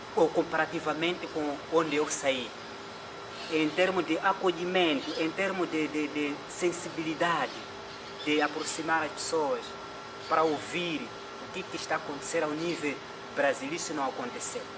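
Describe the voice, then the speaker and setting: With noticeable background noise behind him, a man speaks at a fairly high pitch. His intonation is fairly even, broken by long, frequent pauses. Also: moderate pace. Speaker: international student. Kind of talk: interview testimony.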